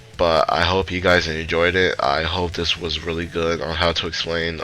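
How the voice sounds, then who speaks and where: A man's very deep, low voice in a flat monotone at a moderate pace, with music in the background. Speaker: speedrunner. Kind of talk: tutorial. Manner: halting, stuttering.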